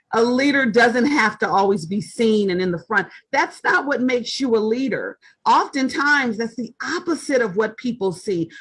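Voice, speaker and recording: A loud, high-pitched woman's voice. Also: lively intonation, moderate pace. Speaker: author and leadership writer. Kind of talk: interview conversation.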